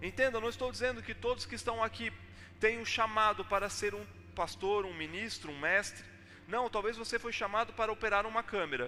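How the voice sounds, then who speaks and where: A man's raised, projected voice with a Brazilian accent, high in pitch, with ordinary pitch variation and a fairly quick pace. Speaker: pastor. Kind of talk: sermon. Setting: church.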